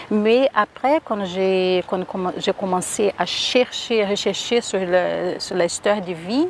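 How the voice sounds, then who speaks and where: A woman speaks at a very slow pace with hardly any pauses, using a medium pitch with ordinary variation, over noticeable background noise. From Brazil, Rio de Janeiro. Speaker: singer and performer. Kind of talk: interview.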